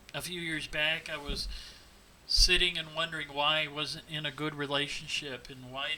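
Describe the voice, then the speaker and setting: Over noticeable background noise, a man with an American accent speaks at a moderate pace in a fairly high pitch with monotone, flat intonation. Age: 50s. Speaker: teacher with Parkinson's disease. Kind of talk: personal testimony.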